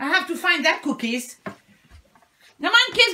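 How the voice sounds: A woman talks slowly with big swings in pitch. Her tone is bright and sharp.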